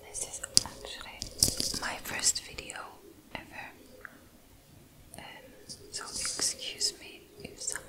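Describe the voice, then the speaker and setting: The speaker is whispering. The pace is very slow. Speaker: ASMR creator. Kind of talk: ASMR whisper intro. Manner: whispered. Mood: shy, apologetic. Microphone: phone near.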